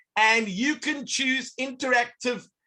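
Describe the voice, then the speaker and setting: The voice is raised and projected, animated and bright and sharp in tone, with ordinary pitch variation. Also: man. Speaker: educational technology presenter. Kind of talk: online workshop demonstration.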